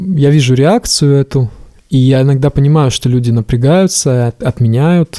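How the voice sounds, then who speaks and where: Recorded with a dry, close sound and no echo, a man speaks at a medium pitch with ordinary pitch variation, a dark, mellow tone and very even loudness. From rural Russia. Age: 30s. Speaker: hardware engineer and startup founder. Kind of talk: casual interview.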